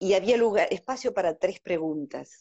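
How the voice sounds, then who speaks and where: A woman at medium pitch has an ordinary speaking voice. Her intonation is lively and her pace moderate. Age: 50s. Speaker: psychologist. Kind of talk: casual interview.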